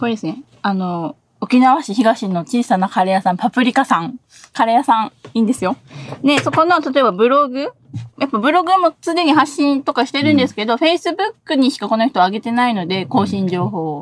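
At a fairly quick pace, a high-pitched woman's voice makes very wide pitch swings in a dry, close sound with no echo. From Okinawa. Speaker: designer. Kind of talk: casual interview. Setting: live stream.

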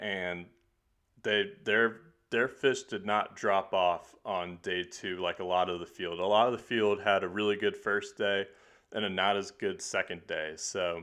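This man has an ordinary speaking voice, a fairly low pitch, ordinary pitch variation and an American accent. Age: 20s. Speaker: podcast host. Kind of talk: casual chat.

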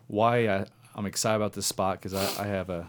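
With an American accent, a man talks in a normal speaking voice at a fairly quick pace and with fairly even intonation. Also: very clean recording, silent background. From Southwest Indiana. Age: 30s. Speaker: deer hunter. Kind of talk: casual chat. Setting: studio.

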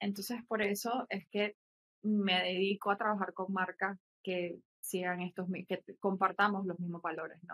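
At a fairly slow pace, a woman speaks at a medium pitch in a monotone, flat way, with a dry, close sound and no echo. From Nicaragua. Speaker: collage artist and graphic designer. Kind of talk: casual interview chat.

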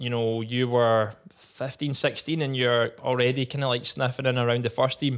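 A man speaks in a Scottish accent at a medium pitch and moderate pace, his intonation monotone and flat. The recording is very clean with a silent background. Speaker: podcast host, former footballer. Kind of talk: casual chat. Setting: studio.

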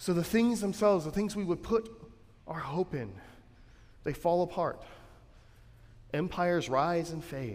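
Here a man talks in a high pitch at a fairly slow pace, with ordinary pitch variation. He leaves long, frequent pauses. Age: 30s. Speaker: pastor. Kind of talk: sermon. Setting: church. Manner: conversational, with filler words.

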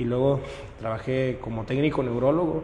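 Audible room echo surrounds a man speaking at a medium pitch and a moderate pace with ordinary pitch variation. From Mexico, Monterrey area (Nuevo León). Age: 20s. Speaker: local election candidate. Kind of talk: interview. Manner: halting, with frequent repetitions.

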